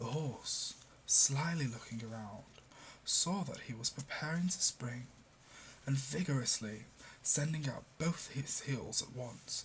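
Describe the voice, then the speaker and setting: A man speaks very slowly in a British accent, at a fairly high pitch with ordinary pitch variation. His tone is gentle and somewhat breathy. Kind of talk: fable reading. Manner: soft, gentle, relaxing.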